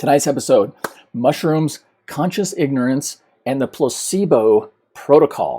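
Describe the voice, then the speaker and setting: In an animated tone, a man speaks at a fairly high pitch and a fairly slow pace with ordinary pitch variation. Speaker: podcast host. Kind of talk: live stream monologue. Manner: loud when excited.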